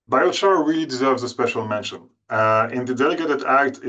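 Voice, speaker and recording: A man talks with lively intonation at a medium pitch. The background is quiet. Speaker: climate policy expert. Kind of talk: webinar presentation. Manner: fast.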